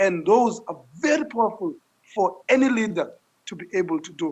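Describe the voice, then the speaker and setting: The man's delivery keeps to a moderate tempo. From South Africa, Langa in Cape Town. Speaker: social entrepreneur. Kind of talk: interview. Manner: loud; repetitive stammering.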